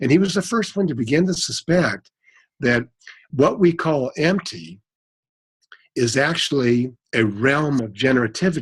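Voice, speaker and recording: A man talks at a moderate pace in a fairly high pitch, somewhat breathy, with very wide pitch swings and long, frequent pauses. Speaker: cosmologist. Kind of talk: interview. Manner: halting, stuttering.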